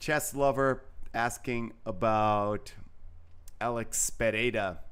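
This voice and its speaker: At a very slow pace, a man speaks at medium pitch with fairly even intonation. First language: not English. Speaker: chess commentator. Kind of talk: live commentary. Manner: halting.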